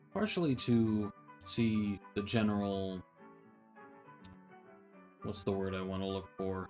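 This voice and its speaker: A man with an American accent, fairly low pitch, monotone and flat intonation, a very slow pace with long, frequent pauses, music in the background. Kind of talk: comedic commentary to camera.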